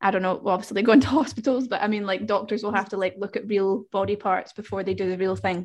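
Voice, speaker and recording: This woman has an unremarkable speaking voice. She talks at a fairly quick pace with fairly even intonation. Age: 20s. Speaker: podcast host. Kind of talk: casual chat.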